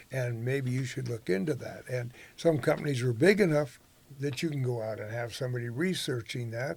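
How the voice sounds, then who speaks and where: This man talks at a fairly quick pace in an American accent, sounding somewhat breathy. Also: medium pitch for a man, ordinary pitch variation. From northern California. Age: 80s+. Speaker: rodeo announcer and entrepreneur. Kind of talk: interview conversation.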